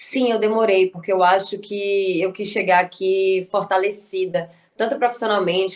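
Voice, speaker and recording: A woman talks at a moderate pace with a medium pitch and fairly even intonation. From Brazil, Bahia (Salvador). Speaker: actress and writer. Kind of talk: interview.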